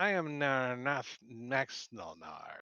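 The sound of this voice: Putting on a character voice with an Italian accent, a man speaks at a medium pitch.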